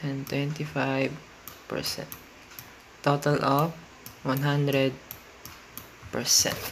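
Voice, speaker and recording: Speech comes at a very slow pace with long, frequent pauses and noticeable background noise. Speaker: science teacher. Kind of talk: educational lesson narration.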